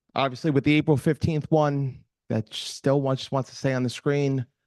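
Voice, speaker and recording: Flat and monotone, a man speaks with a Boston accent at a medium pitch. His pace is moderate, and the sound is dry and close with no echo. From Boston area. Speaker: security presenter. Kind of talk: presentation at meetup. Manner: halting.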